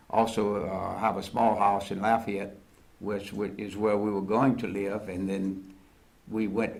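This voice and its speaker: A man's fairly low, monotone voice moves at a fairly slow pace amid audible room echo. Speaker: flood authority director. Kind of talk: casual interview. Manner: halting.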